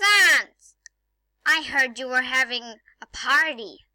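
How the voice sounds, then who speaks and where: Pitched high, a woman performs a put-on character voice. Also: very slow pace. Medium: fan dub. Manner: hesitant, stammering.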